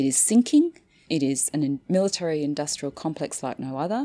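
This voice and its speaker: With an Australian accent, the voice carries a dark, mellow tone and lively intonation on a very clean recording with a silent background. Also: woman. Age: 50s. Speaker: anthropologist, associate professor. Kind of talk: interview conversation.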